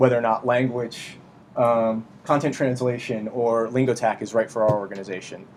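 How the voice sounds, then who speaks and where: This is a man speaking. His pitch sits in the medium range. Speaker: conference speaker. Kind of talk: conference talk. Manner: fast.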